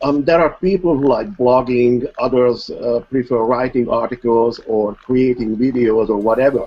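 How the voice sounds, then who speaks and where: A man with a non-native accent, very even in loudness and ordinary in pitch variation. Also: medium pitch for a man, moderate pace, hardly any pauses. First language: not English. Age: old. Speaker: online marketer. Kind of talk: interview. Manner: formal.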